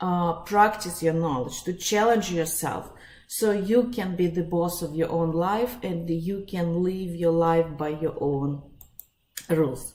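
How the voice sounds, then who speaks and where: Amid audible room echo, a woman speaks very slowly in a fairly low pitch. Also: ordinary pitch variation. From Russia. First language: Russian. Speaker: psychologist and life coach. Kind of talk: webinar presentation. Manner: halting, many fillers.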